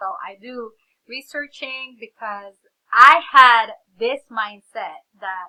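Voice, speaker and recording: A bright, sharp tone in a woman's fairly high-pitched voice. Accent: Filipino. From Philippines. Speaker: reseller, vlogger. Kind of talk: casual vlog storytelling. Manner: animated.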